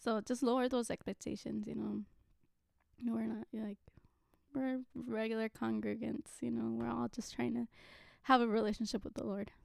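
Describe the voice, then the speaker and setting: In a dry, close sound with no echo, a woman with an American accent speaks at a moderate pace, leaving long, frequent pauses. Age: 20s. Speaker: ABA therapist and pastor's daughter. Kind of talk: casual interview chat.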